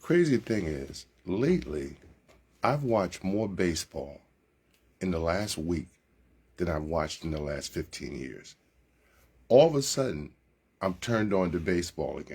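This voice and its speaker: A man with a very deep, low pitch and an American accent, with vocal fry, lively intonation, a moderate pace and long, frequent pauses. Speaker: radio sports host. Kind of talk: live sports radio monologue, casual and chatty. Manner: upbeat, enthusiastic, conversational.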